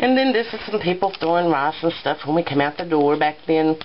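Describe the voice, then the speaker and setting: Noticeable background noise runs under this recording. A woman with a fairly low pitch speaks in a Southern US accent. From US South, rural. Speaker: craft vlogger. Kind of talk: show-and-tell vlog. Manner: warm, chatty.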